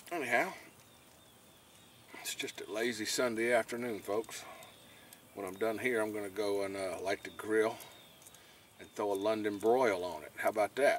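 A man at a moderate pace with fairly low pitch, fairly even intonation and long, frequent pauses, in a dry recording with no echo and light background noise. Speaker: fishing vlogger. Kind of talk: casual vlog chat. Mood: relaxed, joking. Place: boat. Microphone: phone near.

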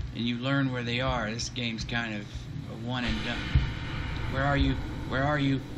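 Moderately paced male speech beneath loud background noise. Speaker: gamer streamer. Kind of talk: gameplay commentary. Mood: tense, wry humor. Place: home room.

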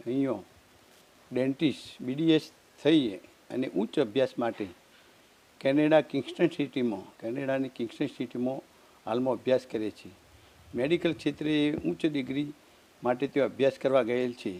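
The man's voice sits at medium pitch with a dark, mellow tone. His pitch varies in an ordinary way. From Gujarat, India (Patan district). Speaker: parent of scholarship recipient. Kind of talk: testimony. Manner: halting.

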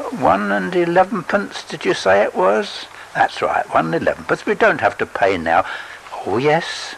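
There is noticeable background noise as a man speaks in a gentle tone. His pace is fairly slow and his pitch swings very widely. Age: 80s. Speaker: storyteller reading his own story. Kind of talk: literary audiobook reading, narrated story with voiced characters. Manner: slow, gentle, sentimental storyteller.

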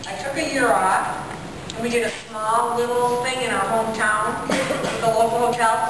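A woman's fairly high voice with noticeable background noise and strong room echo. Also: fairly even intonation. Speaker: professional clown and clown educator. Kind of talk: storytelling presentation to campers. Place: hall. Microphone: camera far.

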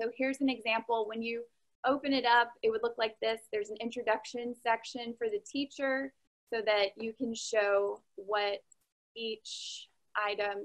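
A woman's voice, fairly even in intonation, moves at a moderate pace over a quiet background. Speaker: online science teacher. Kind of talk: informational talk to viewers. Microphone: webcam.

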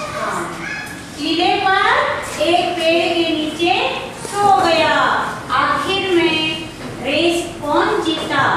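A woman speaks very slowly in an extremely high pitch, leaving long, frequent pauses. Strong room echo and noticeable background noise fill the recording. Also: ordinary pitch variation. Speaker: school teacher. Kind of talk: classroom teaching, asking questions. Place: classroom.

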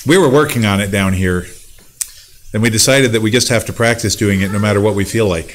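With light background noise behind him, a man talks at a fairly quick pace with ordinary pitch variation. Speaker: pastor. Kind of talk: church announcements and prayer requests. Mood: calm, warm. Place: church. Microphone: podium.

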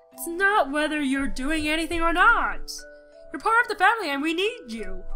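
Putting on a character voice, a woman speaks at a moderate pace in an extremely high pitch with big pitch swings and a bright, sharp tone, with faint music in the background.

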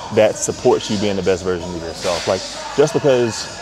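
A man with a fairly low voice talks at a fairly quick pace, the sound dry with no echo and clear music playing behind him. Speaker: fitness vlogger. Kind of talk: casual vlog chat.

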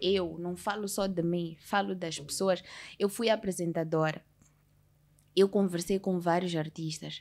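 A woman with an unremarkable speaking voice speaks at a fairly slow pace in a fairly low pitch, her intonation fairly even. The recording is very clean, with a silent background. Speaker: singer, actress and TV presenter. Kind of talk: casual chat.

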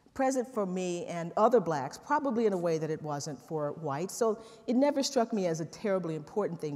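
Speaking at a fairly quick pace, a woman with an American accent uses lively intonation. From East Texas, US South. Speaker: law professor and historian. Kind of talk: lecture. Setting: stage with audience. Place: stage.

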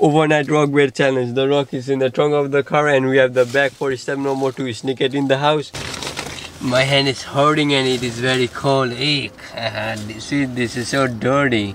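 The speech has monotone, flat intonation at a moderate pace. Light background noise sits underneath. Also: man, dry sound with no echo. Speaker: vlogger. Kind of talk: casual vlog chat. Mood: playful, slightly complaining.

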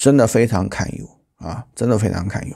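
The background is quiet as a man talks at a fairly slow pace. His intonation is lively. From China. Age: 40s. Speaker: political commentary YouTuber; political commentator. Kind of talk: news commentary monologue; commentary. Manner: halting, many fillers. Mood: critical, opinionated. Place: home room. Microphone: lapel.

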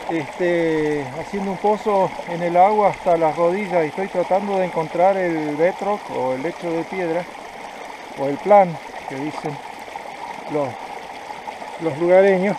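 With noticeable background noise but a dry sound with no echo, a man talks at a fairly slow pace in a high pitch, leaving long, frequent pauses. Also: fairly even intonation. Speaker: gold prospector vlogger. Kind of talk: casual tutorial vlog chat. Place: waterside. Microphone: phone near.

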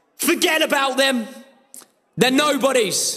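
The voice is raised and projected, with an animated tone. The background is quiet. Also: man. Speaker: trader giving motivation. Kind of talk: motivational pep talk to a live audience. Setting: stage with audience. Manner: animated, forceful, rallying, urgent; repetitive, punchy, commanding. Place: office.

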